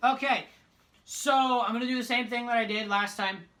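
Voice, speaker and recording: A woman talks at a fairly quick pace with a medium pitch. There is noticeable background noise in the recording. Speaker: youtuber, hockey fan. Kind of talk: casual monologue.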